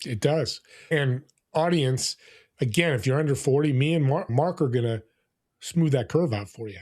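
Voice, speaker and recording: On a very clean recording with a silent background, a somewhat breathy man with a fairly high pitch speaks at a moderate pace with ordinary pitch variation and long, frequent pauses. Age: 60s. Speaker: entrepreneur and podcaster. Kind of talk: podcast interview.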